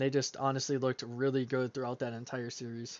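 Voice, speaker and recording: Fairly quick delivery in a fairly high male voice. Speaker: esports caster. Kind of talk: live commentary.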